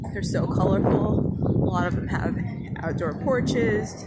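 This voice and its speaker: The speech moves at a fairly slow pace. Loud background noise surrounds a dry sound with no echo. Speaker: walking tour vlogger. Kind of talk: casual vlog chat. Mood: admiring, relaxed. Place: street. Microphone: phone near.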